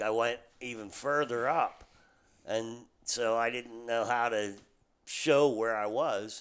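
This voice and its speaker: Speaking with an American accent, a man uses a normal speaking voice at a medium pitch with fairly even intonation. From central Pennsylvania. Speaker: cabin rental owner. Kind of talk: casual chat. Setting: fishing cabin.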